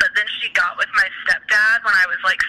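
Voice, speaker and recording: Against noticeable background noise, this woman's speech moves at a moderate pace. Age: 20s. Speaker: poet and novelist. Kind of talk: casual chat.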